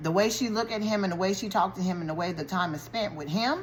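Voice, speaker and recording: Somewhat breathy, a woman's voice comes through with audible room echo. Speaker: YouTuber recapping a TV show. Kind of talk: casual TV show recap. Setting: eating while talking to camera.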